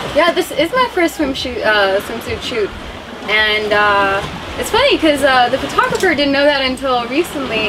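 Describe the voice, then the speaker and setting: Speaking in a raised, projected voice with an American accent, a woman with a high pitch swings very widely in pitch at a moderate pace, with noticeable background noise behind her. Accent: sounds American. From India, then New Zealand, Australia and California. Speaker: model and actress. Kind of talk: interview.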